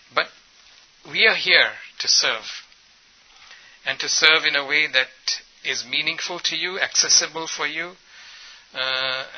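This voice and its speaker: A man speaks at a fairly high pitch and a fairly slow pace, with fairly even intonation. Long, frequent pauses break up his speech, and there is noticeable background noise. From Ethiopia. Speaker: dentist turned trainer of healthcare workers. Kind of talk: workshop presentation.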